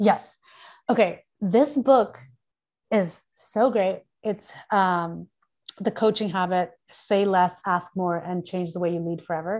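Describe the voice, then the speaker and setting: Against a quiet background, a woman with a medium pitch and ordinary pitch variation talks at a very slow pace, leaving long, frequent pauses. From Pakistan, then Thailand in high school. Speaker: VR company founder. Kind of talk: interview conversation. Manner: animated.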